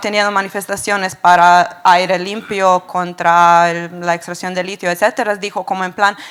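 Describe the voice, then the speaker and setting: Noticeable background noise sits behind a woman with a Serbian accent. She speaks at a moderate pace with monotone, flat intonation and hardly any pauses. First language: Serbian (speaking Spanish). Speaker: audience member. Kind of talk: audience question at panel. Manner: halting.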